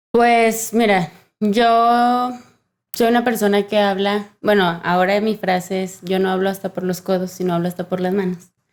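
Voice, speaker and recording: A woman with a medium pitch speaks at a fairly slow pace with fairly even intonation. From Mexico. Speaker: sign language interpreter. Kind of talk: podcast interview. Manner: talkative.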